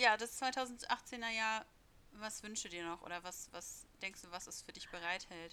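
At a fairly slow pace, a woman with an unremarkable speaking voice speaks at a fairly high pitch, her loudness swinging widely. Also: ordinary pitch variation. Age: 20s. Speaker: podcast co-host, youth worker. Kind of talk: casual chat.

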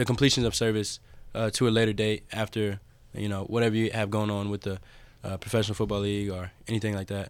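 The delivery is fairly quick, with monotone, flat intonation. The recording is very clean, with a silent background. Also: man. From Clarksville, Tennessee. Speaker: college quarterback and naval academy student. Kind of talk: interview.

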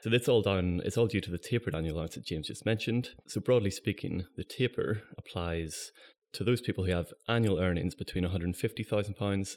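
A plain, everyday voice from a man, fairly low in pitch, with ordinary pitch variation and a moderate pace, in a very clean recording with a silent background. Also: hardly any pauses. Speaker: pensions tax consultant. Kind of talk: professional interview.

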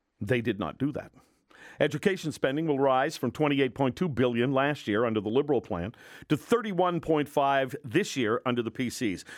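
Using a normal speaking voice, a man talks at a fairly quick pace and medium pitch, his intonation lively. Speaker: radio host. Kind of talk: angry rant, radio commentary. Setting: radio studio. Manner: indignant, sarcastic, forceful.

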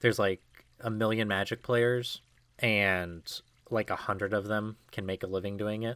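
An unremarkable speaking voice from a man, medium in pitch, at a moderate pace with fairly even intonation, on a very clean recording with a silent background. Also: dry, close sound with no echo. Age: 20s. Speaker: podcast co-host. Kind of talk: casual chat.

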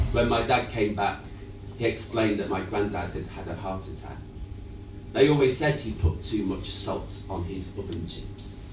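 A man with a fairly low pitch speaks at a moderate pace with ordinary pitch variation. His loudness swings widely, and there is noticeable background noise. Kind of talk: scripted personal monologue.

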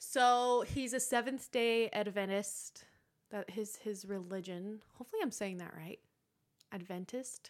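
A woman speaks at a fairly slow pace in a fairly high pitch, with an unremarkable speaking voice. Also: ordinary pitch variation. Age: 20s. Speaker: podcast host. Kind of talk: casual chat.

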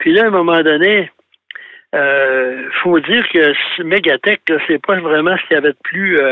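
His pace is very slow. The man's voice sits at a high pitch. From Quebec (Thetford Mines). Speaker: automotive history columnist. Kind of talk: casual radio chat.

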